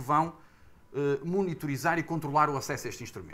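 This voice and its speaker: A Porto accent at a fairly quick pace. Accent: northern Portuguese (Porto). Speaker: heritage association representative, panelist. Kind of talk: panel discussion. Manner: hesitant, many fillers; formal.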